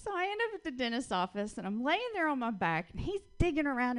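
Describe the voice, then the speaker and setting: A woman with a Southern US accent and lively intonation. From US South. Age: 40s. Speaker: comedian. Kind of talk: stand-up. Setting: stage with audience.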